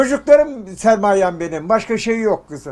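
Over a quiet background, a man speaks at a fairly slow pace with an extremely high pitch. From Turkey. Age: 80s+. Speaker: tailor. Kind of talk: interview. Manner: halting. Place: shop.

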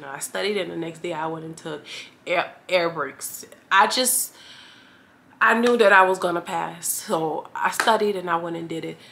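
With light background noise, a woman talks at a moderate pace, her loudness swinging a lot while her pitch varies in an ordinary way. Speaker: truck driver vlogger. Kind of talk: casual vlog chat. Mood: relaxed, storytelling. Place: home room.

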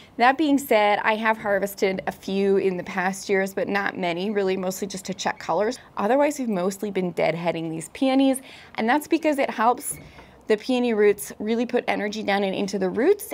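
A woman speaking at a moderate pace lets her pitch vary in an ordinary way. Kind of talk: casual vlog chat. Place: garden. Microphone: lapel.

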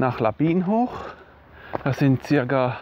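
A man is heard in a dry sound with no echo. Light background noise runs underneath. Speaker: hiker vlogger. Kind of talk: casual vlog chat. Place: open country. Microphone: phone near.

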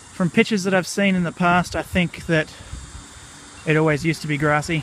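A man's fairly high, fairly bright voice at a moderate pace, with fairly even intonation and faint background noise

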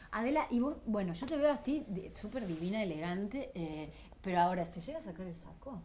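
A woman at a fairly quick pace, her pitch swinging very widely and her loudness shifting greatly, over light background noise. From Argentina. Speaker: radio host. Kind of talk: interview. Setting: radio studio. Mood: friendly, light chat. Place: studio. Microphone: lapel.

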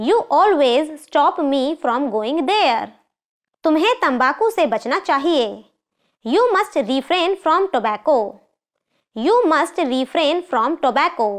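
The voice makes very wide pitch swings at a very even loudness, with long, frequent pauses, in a very clean recording with a silent background. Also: woman, high pitch for a woman. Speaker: English teacher. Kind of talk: tutorial. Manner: slow.

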